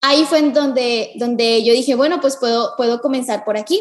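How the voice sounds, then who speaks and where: A moderate pace and ordinary pitch variation in a woman's high voice. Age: 20s. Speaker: dancer and dance teacher. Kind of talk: interview.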